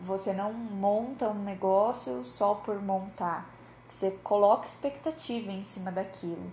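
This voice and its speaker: Her somewhat breathy, dark and mellow voice sits at medium pitch for a woman, moving at a fairly slow pace with lively intonation. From Brazil, interior of Paraná. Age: 20s. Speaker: psychologist and podcast host. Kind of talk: casual solo podcast monologue.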